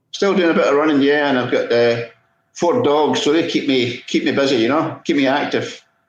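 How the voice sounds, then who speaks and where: Speaking with a Scottish accent, a man uses a fairly high pitch and lively intonation at a fairly quick pace, his loudness very even throughout. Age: 60s. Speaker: podiatrist and masters sprinter. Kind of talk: casual interview.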